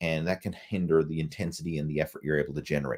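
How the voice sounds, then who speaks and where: Very fast and very deep, a man with a Newfoundland accent speaks in a dark, mellow tone with vocal fry, on a very clean recording with a silent background. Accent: Newfoundland English, somewhat Irish-sounding. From Newfoundland, Canada. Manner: casual, conversational, some hesitations.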